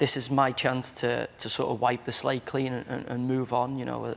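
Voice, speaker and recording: With a Merseyside accent, a man talks at a medium pitch. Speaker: footballer. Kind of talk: TV chat show interview answer.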